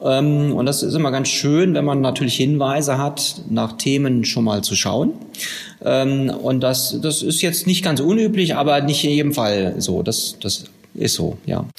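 Over noticeable background noise, a man with a fairly high pitch speaks with lively intonation and very even loudness. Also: fairly slow pace. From Westphalia, Herford district. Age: 40s. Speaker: tax auditor. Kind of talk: interview. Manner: hesitant with fillers.

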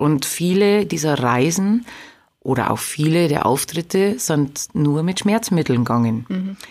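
In a Bavarian accent, a woman speaks fairly slowly with a very deep, low pitch and lively intonation on a very clean recording with a silent background. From Lower Bavaria (Straubing-Bogen district). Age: 30s. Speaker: singer. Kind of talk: interview.

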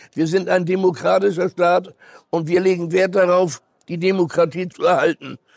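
A man's high voice at a moderate pace, with fairly even intonation and a dry, close sound free of echo. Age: 90s. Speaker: Holocaust survivor and educator. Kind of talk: interview.

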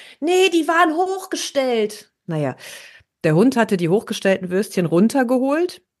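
The voice moves through very wide pitch swings at a fairly slow pace. The background is quiet. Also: woman. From Ruhr area, Germany (Herne). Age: 40s. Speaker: podcast co-host. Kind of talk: casual chat.

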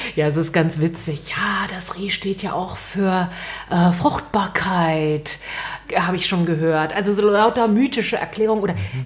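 A woman at medium pitch and a fairly slow pace, amid noticeable background noise. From West Berlin. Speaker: radio host and author. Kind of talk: interview conversation.

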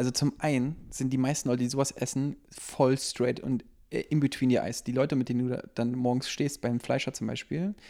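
In a normal speaking voice, a man of medium pitch talks at a moderate pace with fairly even intonation and hardly any pauses. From Berlin (Lichtenberg). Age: 30s. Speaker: restaurant owner. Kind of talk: casual chat.

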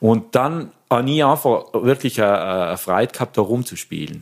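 A man speaks with a South Tyrolean accent. His pitch is medium, and its variation is ordinary. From South Tyrol, Pustertal. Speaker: organist and music lecturer. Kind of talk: interview.

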